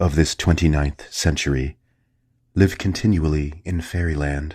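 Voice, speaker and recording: In a very clean recording with a silent background, a man speaks at a moderate pace in a very deep, low, dark and mellow voice that is somewhat breathy, the sound dry and close with no echo. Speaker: narrator. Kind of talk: sleep story. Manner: soft-spoken, calm, hushed.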